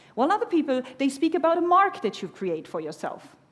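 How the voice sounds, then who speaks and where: With a German accent, the speaker talks at a fairly quick pace and makes very wide pitch swings. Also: woman. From Germany. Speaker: keynote speaker on personal branding. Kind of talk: conference keynote talk. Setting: stage with audience. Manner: animated.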